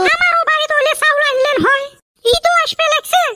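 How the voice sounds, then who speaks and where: In a cartoonish character voice, a woman squeaks at an extremely high pitch with very wide pitch swings, very even loudness and a fairly quick pace. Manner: wheedling.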